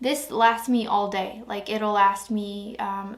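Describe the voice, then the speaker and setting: A woman speaks in a flat, monotone way. Her voice carries audible room echo. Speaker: beauty vlogger. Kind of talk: casual review talk to camera. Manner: hesitant, filler-heavy.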